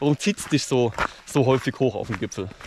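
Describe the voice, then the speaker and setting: A man at a fairly quick pace with ordinary pitch variation, noticeable background noise behind him. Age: 30s. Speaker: mountaineering YouTuber. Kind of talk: interview during a mountain hike. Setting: outdoors on a mountain.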